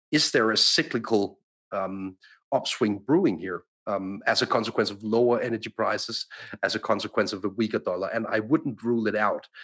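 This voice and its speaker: At a fairly quick pace, a man talks in an ordinary speaking voice at a medium pitch. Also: ordinary pitch variation. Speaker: macro analyst. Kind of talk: panel discussion on markets.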